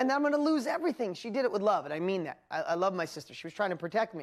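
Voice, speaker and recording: In a New York accent, a woman speaks in an animated tone with very wide pitch swings. The recording is very clean, with a silent background. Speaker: business coach and seminar presenter. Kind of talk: motivational seminar talk.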